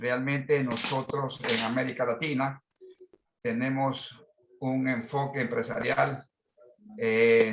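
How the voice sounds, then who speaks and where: Very slow speech from a man at a medium pitch. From Ecuador. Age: 60s. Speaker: business management consultant. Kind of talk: participant in online masterclass discussion.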